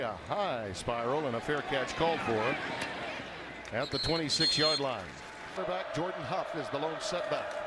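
A man talks at a moderate pace in a dry sound with no echo, over loud background noise. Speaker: play-by-play announcer. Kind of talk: commentary. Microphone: headset.

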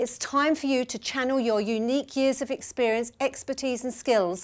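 Her pitch is high for a woman. The background is quiet. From UK. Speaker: business coach. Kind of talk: motivational marketing talk to camera. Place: home room.

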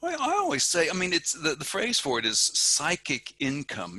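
A man at a fairly quick pace, the sound dry with no echo. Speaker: podcast host; podcast guest. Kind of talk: interview. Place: office. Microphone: headset.

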